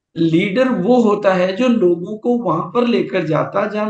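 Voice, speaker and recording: A man speaks with a high pitch. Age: 70s. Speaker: business motivational speaker. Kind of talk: seminar talk.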